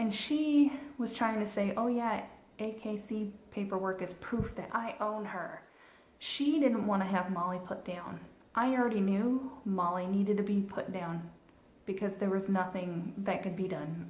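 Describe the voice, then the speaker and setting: A woman's put-on character voice, shaky and medium in pitch, at a moderate pace with ordinary pitch variation and audible echo. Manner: angry, shaky.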